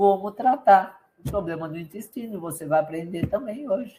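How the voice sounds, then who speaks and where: With a dark, mellow tone and a somewhat breathy quality, a woman talks fairly slowly, her pitch varying in an ordinary way. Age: 60s. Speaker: health coach. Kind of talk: live stream sales talk. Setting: live stream with chat. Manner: animated.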